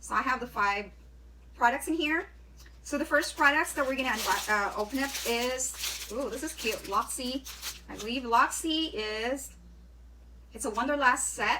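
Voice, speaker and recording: A woman with a high pitch and a bright, sharp tone speaks at a moderate pace, with ordinary pitch variation and long, frequent pauses. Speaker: beauty vlogger. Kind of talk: unboxing video. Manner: casual, hesitant with fillers.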